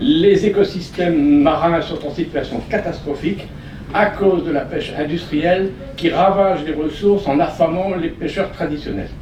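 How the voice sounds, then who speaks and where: Amid noticeable background noise and audible room echo, a man with a high pitch speaks at a fairly slow pace with ordinary pitch variation. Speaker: conference panelist. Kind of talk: conference talk.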